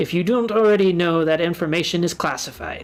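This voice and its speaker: This put-on character voice sits at a middle pitch and moves at a fairly quick pace. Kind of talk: flat, condescending. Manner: deadpan, weary.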